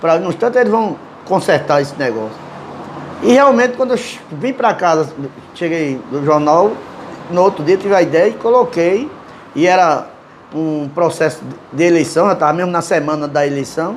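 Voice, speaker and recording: A man with a high pitch talks at a moderate pace with lively intonation and long, frequent pauses. Noticeable background noise is present. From Brazil, Northeast (João Pessoa, Paraíba). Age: 60s. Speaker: cartoonist. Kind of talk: interview. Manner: halting.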